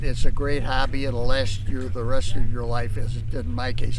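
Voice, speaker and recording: A man speaks at a moderate pace while audible room echo and noticeable background noise surround him. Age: 90s. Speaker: model airplane hobbyist. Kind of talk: interview.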